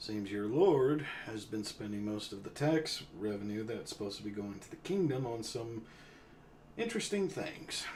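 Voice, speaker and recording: In a put-on character voice with a Western US accent, a man speaks at a moderate pace in a raspy, medium-pitched tone, his intonation lively and his loudness swinging widely over clear background noise. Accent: Western drawl. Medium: actual play. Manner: profane, blunt.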